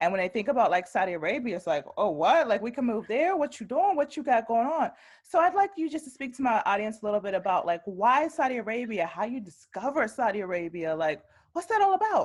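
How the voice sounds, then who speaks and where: A woman talks at a very fast pace in an animated tone. Her fairly high voice makes very wide pitch swings. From US. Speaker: travel vlogger. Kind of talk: interview.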